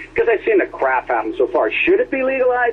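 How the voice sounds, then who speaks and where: Noticeable background noise runs under a man's speech. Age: 60s. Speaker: licensed cannabis grower. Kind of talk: radio call-in.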